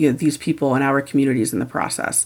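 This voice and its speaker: A woman talks with a Midwestern US accent. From Indiana. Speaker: sports journalist and author. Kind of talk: interview.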